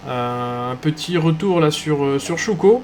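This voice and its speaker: A man's fairly high voice shifts in pitch in an ordinary way, with music playing in the background. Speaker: esports race commentator. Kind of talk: live commentary. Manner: hesitant, many fillers.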